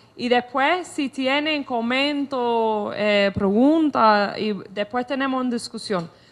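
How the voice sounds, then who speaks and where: A woman with a non-native accent and a high pitch, speaking at a very slow pace with ordinary pitch variation and hardly any pauses. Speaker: author and lecturer. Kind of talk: lecture. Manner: halting.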